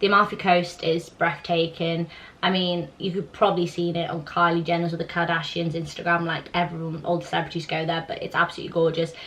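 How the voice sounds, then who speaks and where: With noticeable background noise behind her, a woman talks at a very fast pace with hardly any pauses, her fairly low voice monotone and flat. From southern Italy. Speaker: YouTuber. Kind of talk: casual Q&A chat.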